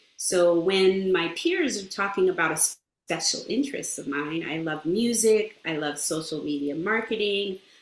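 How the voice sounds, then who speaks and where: With audible room echo, a woman speaks at medium pitch and a moderate pace, showing ordinary pitch variation. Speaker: speech therapist. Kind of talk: interview. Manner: halting.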